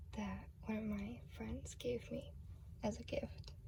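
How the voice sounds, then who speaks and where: A soft-spoken woman talks at a very slow pace. Noticeable background noise is present. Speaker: ASMR creator. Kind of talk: casual talk to camera.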